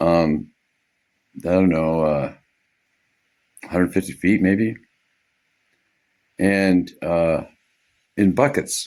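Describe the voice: A man with a low, slightly mellow voice speaks at a very slow pace, with fairly even intonation and long, frequent pauses.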